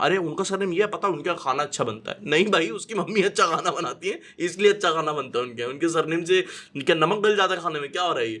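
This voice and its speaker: With an energetic tone, a man speaks at a high pitch with ordinary pitch variation. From Delhi, India. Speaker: radio jockey and stand-up comedian. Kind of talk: casual podcast conversation, Hindi-English mix. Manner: energetic, witty, talkative.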